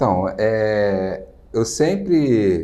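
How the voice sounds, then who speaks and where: Audible room echo surrounds a man whose dark, mellow tone carries lively intonation. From Rio de Janeiro, Brazil. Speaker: entrepreneur, business owner. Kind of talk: interview. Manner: hesitant, many fillers.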